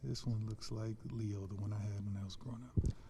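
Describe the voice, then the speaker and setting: The tone is dark and mellow and somewhat breathy. Intonation stays monotone and flat. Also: man. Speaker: school teacher and coach. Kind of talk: casual chat interview over lunch.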